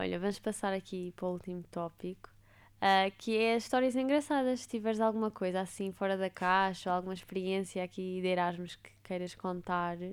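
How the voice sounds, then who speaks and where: A woman talks at a fairly quick pace in a plain, everyday voice, her pitch medium. The recording is very clean, with a silent background. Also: ordinary pitch variation. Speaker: podcast host. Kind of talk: casual interview chat.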